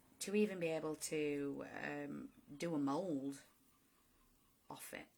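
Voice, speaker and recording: A woman with a northern English accent speaks with long, frequent pauses and big swings in loudness. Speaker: driftwood artist. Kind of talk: live-stream craft tutorial. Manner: casual, hesitant.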